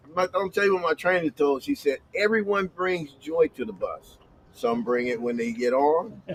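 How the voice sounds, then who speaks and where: A man speaks at a high pitch and a moderate pace, with very wide pitch swings. The sound is dry and close with no echo, though with noticeable background noise. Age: 60s. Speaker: bus driver and former shelter resident. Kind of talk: casual chat. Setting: livestream.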